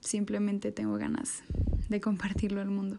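A woman of medium pitch speaks with fairly even intonation and a dark, mellow tone. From Mexico. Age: 20s. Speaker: university student. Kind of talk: personal reflective monologue.

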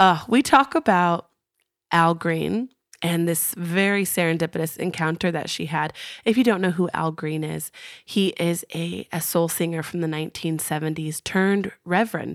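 A woman speaks at a fairly low pitch and moderate pace, with ordinary pitch variation, in an unremarkable speaking voice. The recording is very clean, its background silent. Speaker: podcast host. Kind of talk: casual interview chat.

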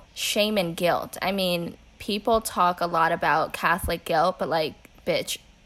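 A woman with a plain, everyday voice talks fairly slowly at a medium pitch with fairly even intonation. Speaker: podcast host. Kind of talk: casual chat.

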